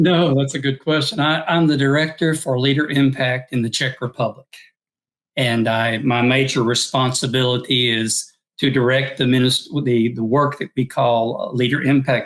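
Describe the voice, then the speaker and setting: Speaking with a Southern accent, a man keeps a medium pitch, fairly even intonation, and a moderate pace. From US South, northeastern Arkansas. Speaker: missionary. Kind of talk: interview.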